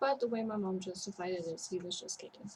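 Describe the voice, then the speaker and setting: The voice is soft-spoken and moves at a fairly quick pace. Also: woman. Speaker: vlogger in mental health recovery. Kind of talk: personal vlog testimony.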